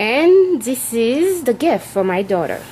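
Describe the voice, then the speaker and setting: A woman speaks at a fairly slow pace with very wide pitch swings against noticeable background noise. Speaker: craft video maker. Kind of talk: tutorial. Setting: craft room at home. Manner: halting.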